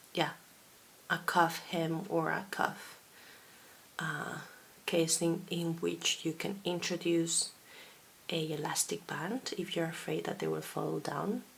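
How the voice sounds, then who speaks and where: A woman with a Basque accent, at a very slow pace with long, frequent pauses. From Basque Country, Spain. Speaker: knitting podcaster and designer. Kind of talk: casual video podcast monologue.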